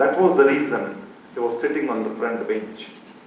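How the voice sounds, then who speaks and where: A man's lively intonation carries through audible room echo and noticeable background noise. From Maharashtra, India. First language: Marwadi. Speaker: school founder, educator. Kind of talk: speech at symposium.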